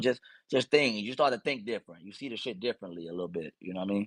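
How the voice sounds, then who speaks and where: Against a quiet background, a man with a Mississippi accent speaks at a fairly low pitch in a dry, close recording with no echo. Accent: Mississippi coastal twang. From US South, Mississippi Gulf Coast. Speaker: battle rapper. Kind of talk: casual interview.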